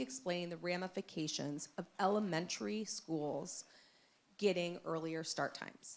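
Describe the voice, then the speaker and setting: At a moderate pace, a woman with a fairly low pitch speaks with lively intonation. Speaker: parent giving public comment. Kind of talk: public comment at school board meeting. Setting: public meeting with microphone. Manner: loud.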